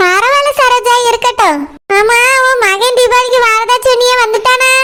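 Extremely high-pitched, a woman uses a cartoonish character voice. She speaks at a fairly slow pace with fairly even intonation.

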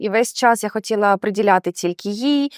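A woman talks in an unremarkable speaking voice at a moderate pace with lively intonation. The recording is very clean, with a silent background. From Ukraine, Odesa region. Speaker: QA automation tester. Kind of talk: interview. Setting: in person in Warsaw.

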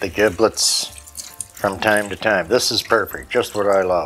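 A man talks fairly slowly. Faint music can be heard behind him. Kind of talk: casual cooking vlog talk. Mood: relaxed, jokey. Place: kitchen.

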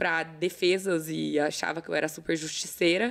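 A woman speaks at a fairly slow pace. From São Paulo state, Brazil (São José do Rio Preto); São Paulo, Brazil. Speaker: talent agency owner, former lawyer; former lawyer. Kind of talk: casual interview chat. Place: studio. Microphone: studio mic.

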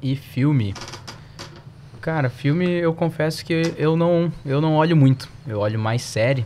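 A man's fairly high voice with ordinary pitch variation, long and frequent pauses, and noticeable background noise. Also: fairly slow pace. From southern Brazil. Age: 20s. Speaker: financial analyst. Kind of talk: podcast interview.

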